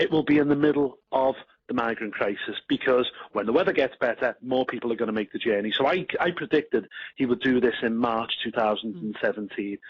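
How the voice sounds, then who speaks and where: A man speaks with a Liverpool accent at a medium pitch. His pace is fairly quick, with ordinary pitch variation. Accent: Scouse. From northern England, Liverpool. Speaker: party politician. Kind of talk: radio interview.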